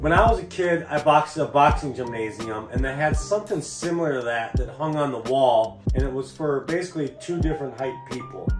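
Over clear music in the background, a man talks at a fairly quick pace with ordinary pitch variation. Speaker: DIY channel host. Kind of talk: casual vlog intro. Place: office. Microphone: webcam.

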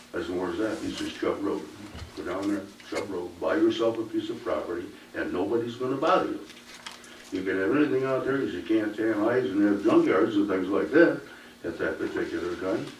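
A man speaks at a fairly quick pace. Room echo is audible, along with noticeable background noise. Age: 70s. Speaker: resident making public comment. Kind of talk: public comment. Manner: impassioned.

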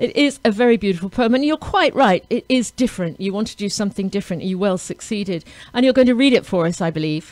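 A woman talks very fast with hardly any pauses and lively intonation. The sound is dry with no echo over a quiet background. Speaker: radio host. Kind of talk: radio interview. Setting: radio studio. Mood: warm, upbeat. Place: studio. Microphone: studio mic.

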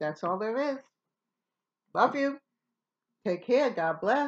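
With very wide pitch swings, a woman talks at a moderate pace over a quiet background. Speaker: DIY video host. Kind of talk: tutorial. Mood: warm, friendly. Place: home room. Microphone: webcam.

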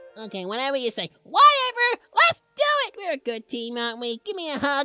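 A put-on character voice, female-sounding and high-pitched, at a fairly quick pace. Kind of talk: let's play game commentary in character. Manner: upbeat, emotional.

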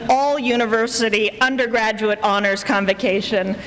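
A woman's voice with fairly even intonation. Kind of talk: formal welcome address. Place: hall. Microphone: podium.

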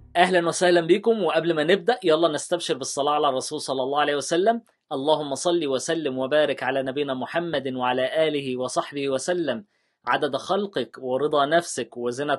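With hardly any pauses, a man speaks at a moderate pace in a fairly high voice with ordinary pitch variation against a quiet background. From Egypt. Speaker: YouTuber, former teacher. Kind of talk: tutorial. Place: studio.

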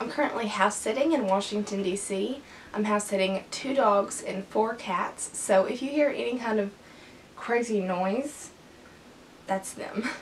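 A woman talks at a fairly slow pace with ordinary pitch variation. Light background noise can be heard. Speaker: beauty vlogger. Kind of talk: tutorial. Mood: relaxed, cheerful. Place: home room. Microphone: camera far.

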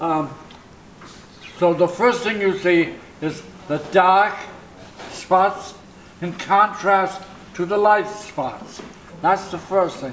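A high-pitched man talks at a very slow pace with long, frequent pauses and fairly even intonation over light background noise. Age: 80s+. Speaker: impressionist painter. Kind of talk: interview answer. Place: home room.

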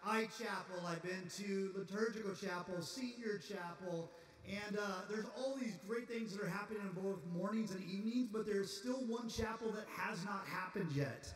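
Over light background noise and audible room echo, a man with a high pitch talks at a moderate pace. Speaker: campus pastor. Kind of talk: chapel announcements and introduction. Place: hall.

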